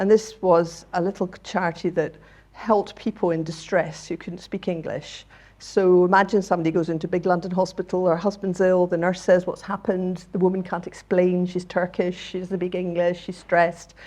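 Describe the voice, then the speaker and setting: In a Scottish accent, a woman speaks at a fairly quick pace and a medium pitch. Her tone is dark and mellow. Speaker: charity chief executive. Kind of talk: talk to audience. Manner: animated.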